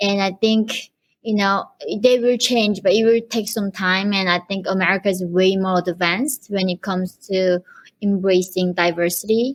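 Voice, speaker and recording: At a moderate pace, a woman with a Korean accent speaks at a medium pitch with fairly even intonation. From North Korea. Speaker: human rights activist. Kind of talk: interview.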